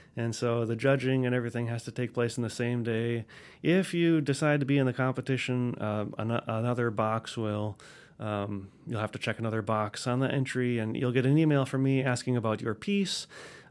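Medium-pitched male voice in an American accent, at a fairly quick pace with ordinary pitch variation, in a very clean recording with a silent background. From US Midwest, Wisconsin. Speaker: clarinet professor and orchestra conductor. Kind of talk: interview. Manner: hesitant, many fillers.

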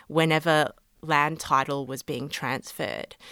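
With an Australian accent and ordinary pitch variation, the voice comes through in a very clean recording with a silent background and a dry, close sound with no echo. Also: woman. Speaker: law lecturer. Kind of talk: interview.

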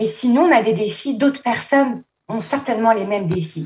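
A woman talks in a dark, mellow tone. Her voice is somewhat breathy. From France, Paris. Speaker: assistant school principal. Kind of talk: interview.

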